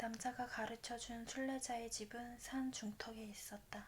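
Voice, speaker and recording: Very slow speech comes through over noticeable background noise. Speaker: ASMR book reader. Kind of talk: bedtime book reading. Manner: soft-spoken.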